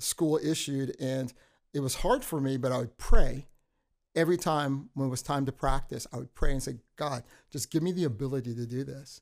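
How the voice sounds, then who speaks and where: A man with an American accent speaks at a moderate pace in a fairly high-pitched voice, a plain, everyday voice. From Texas. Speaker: youth pastor. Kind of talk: testimony.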